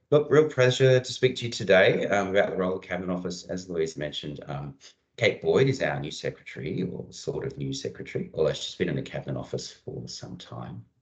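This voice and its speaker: Speaking at a very fast pace with hardly any pauses, a man with an Australian accent has a very deep, low pitch, vocal fry, very wide pitch swings and big swings in loudness. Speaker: senior public servant. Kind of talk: presentation. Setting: video call.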